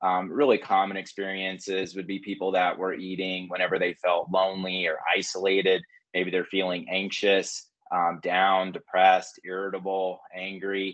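Against a quiet background, the speaker uses monotone, flat intonation at a moderate pace with an American accent. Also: man, very deep, low pitch for a man. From Oklahoma, US. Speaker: clinical psychologist. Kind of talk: online lecture. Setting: video call. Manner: casual with many filler words. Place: home room. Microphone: video call.

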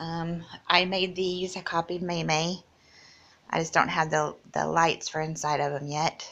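With monotone, flat intonation, a woman speaks at a fairly slow pace in a fairly low pitch. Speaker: vlogger showing her home. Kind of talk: casual video home tour. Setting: apartment, filming at home. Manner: hesitant, filler-heavy, shy. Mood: shy, hesitant, many 'um's. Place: home room. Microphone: phone near.

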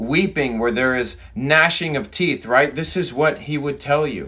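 Lively intonation from a man with a bright, sharp tone, over a quiet background. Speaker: preacher. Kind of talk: sermon. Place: home room. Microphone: phone near.

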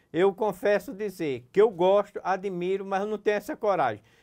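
Someone speaks at a moderate pace over a quiet background. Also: man. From Pernambuco, Brazil (Serra Talhada, sertão); Pernambuco, Brazil. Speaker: business owner; interviewee. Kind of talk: interview. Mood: warm, smiling, relaxed. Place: studio. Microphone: lapel.

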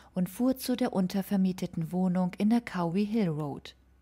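In a solemn, serious tone, a woman speaks at a moderate pace with a dark, mellow, somewhat breathy voice. Her pitch is medium with ordinary variation, and the recording is very clean with a silent background. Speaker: true crime podcaster. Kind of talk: true-crime narration, scripted-style storytelling of a murder case. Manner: solemn, measured and serious, sombre storytelling tone.

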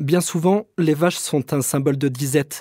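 This man's voice sits at a fairly high pitch and has a dark, mellow tone. The recording is very clean, with a silent background. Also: dry, close sound with no echo. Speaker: podcast host and narrator. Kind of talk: educational storytelling with role-play interview. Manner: conversational, curious, informal.

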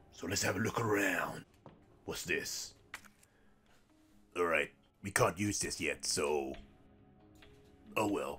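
Faint music plays behind a man doing a raspy, cartoonish character voice. He goes at a fairly slow pace with long, frequent pauses. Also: fairly low pitch for a man. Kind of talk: lets-play commentary. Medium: puppet show. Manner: chirpy, excitable, jokey.

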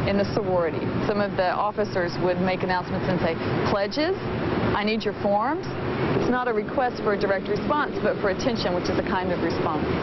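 A woman talks fairly quickly amid loud background noise, the sound dry with no echo. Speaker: linguist. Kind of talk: interview answer. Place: garden. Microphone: lapel.

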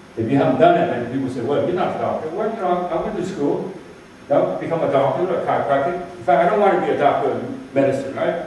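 A high-pitched man at a very fast pace, with ordinary pitch variation, strong room echo and light background noise. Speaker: martial arts teacher. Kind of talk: lecture. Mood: humorous, emphatic. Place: hall. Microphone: camera far.

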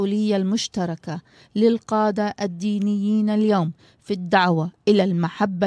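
The speech comes very slowly with fairly even intonation, in a dry sound with no echo and a quiet background. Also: woman. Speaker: TV talk show host. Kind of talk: talk show interview. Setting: studio. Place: studio. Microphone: studio mic.

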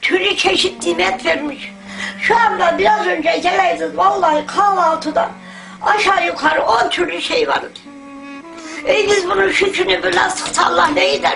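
Music sounds in the background. Over it, a woman talks at a moderate pace. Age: 80s+. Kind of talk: interview answer.

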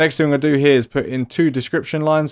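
A man talks at a fast pace with a slightly mellow tone.

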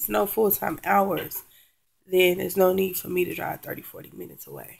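A woman at a moderate pace, with a little background noise. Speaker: vlogger. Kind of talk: casual vlog chat. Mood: frustrated, venting. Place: home room. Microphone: webcam.

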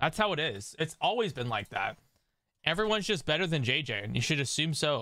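A man speaks at a fairly quick pace in an animated tone, his fairly high, bright, sharp voice showing vocal fry and very wide pitch swings in a dry sound with no echo. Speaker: gaming streamer. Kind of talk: casual chat. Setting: live stream. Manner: joking. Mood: wry self-deprecating. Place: home room. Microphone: studio mic.

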